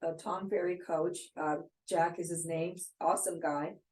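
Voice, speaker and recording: In an American accent, a woman with a dark, mellow tone speaks at a moderate pace. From US Southwest, El Paso Texas. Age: 60s. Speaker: real estate agent. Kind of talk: interview.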